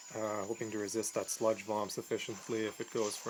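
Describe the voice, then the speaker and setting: A man's fairly low pitch against noticeable background noise. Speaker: gaming commentator. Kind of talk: video game commentary. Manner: casual.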